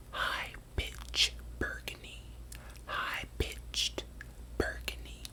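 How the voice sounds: The whispering unfolds at a very slow pace.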